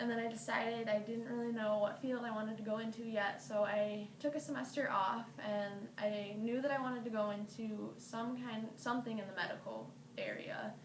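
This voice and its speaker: With an American accent and a fairly high pitch, a woman talks at a moderate pace with hardly any pauses and ordinary pitch variation, over noticeable background noise and audible room echo. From Michigan, US Midwest. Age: 20s. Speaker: college student. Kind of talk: personal introduction monologue. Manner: casual, conversational with fillers.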